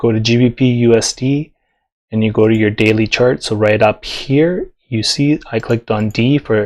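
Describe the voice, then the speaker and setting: A man speaks quietly at a moderate pace. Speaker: forex trading teacher. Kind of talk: tutorial. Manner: casual, filler-heavy.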